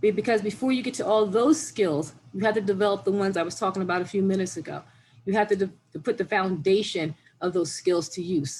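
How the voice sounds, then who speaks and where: A woman talks at a very fast pace, somewhat breathy. Her pitch is medium and varies in an ordinary way. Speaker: pre-K program presenter. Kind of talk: informational presentation.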